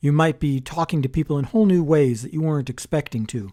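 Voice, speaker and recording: A man mumbles quietly at a moderate pace with an American accent, his tone dark and mellow. His pitch is fairly high, and the recording is very clean with a silent background. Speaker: podcast host. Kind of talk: solo podcast monologue. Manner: quiet, mumbling. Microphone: close to the microphone.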